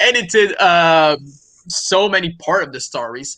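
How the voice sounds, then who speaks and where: A man with a French Canadian accent speaks in a high, bright and sharp voice with lively intonation. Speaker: comic publisher and creator. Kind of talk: casual interview.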